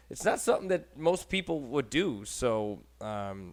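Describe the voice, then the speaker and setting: With an American accent and a medium pitch, a man's voice swings very widely in pitch on a very clean recording with a silent background. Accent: Buffalo accent, noticeable to others. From Buffalo, New York. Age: 30s. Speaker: podcast host. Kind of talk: casual chat.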